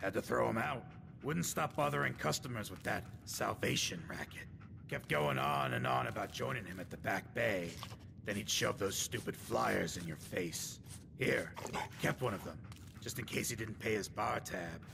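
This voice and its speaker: Doing a put-on character voice, a man speaks at a very deep, low pitch over clear background noise. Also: moderate pace. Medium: video game. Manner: blunt, gruff.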